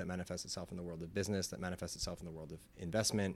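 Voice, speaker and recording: Someone speaks with an American accent in a very clean recording with a silent background. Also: man. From New York. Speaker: music industry professional. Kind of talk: casual chat. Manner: animated.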